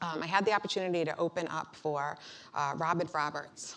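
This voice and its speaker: A woman with a Boston accent, over noticeable background noise. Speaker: motivational speaker, bombing survivor. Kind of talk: keynote speech. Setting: stage with audience. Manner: hesitant, many fillers.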